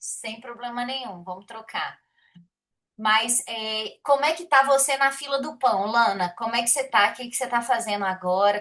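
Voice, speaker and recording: In a Minas Gerais accent, a woman speaks at a moderate pace with a fairly high pitch and ordinary pitch variation. Her tone is bright and sharp, and her loudness swings widely. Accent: Brazilian Portuguese, mineiro. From Minas Gerais, Brazil (Belo Horizonte). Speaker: programmer, study group host. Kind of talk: casual chat. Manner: animated.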